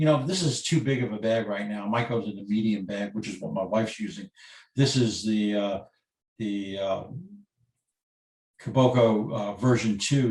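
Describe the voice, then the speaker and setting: Moderately paced speech from a man amid audible room echo, with ordinary pitch variation. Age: 60s. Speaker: photographer, workshop presenter. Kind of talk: webinar lecture.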